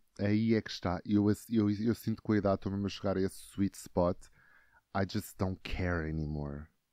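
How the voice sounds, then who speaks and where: Very deep and low, a man's voice carries a dark, mellow tone at a moderate pace with fairly even intonation. The sound is dry and close with no echo, the background quiet. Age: 20s. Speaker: actor and TikTok creator. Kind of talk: casual chat.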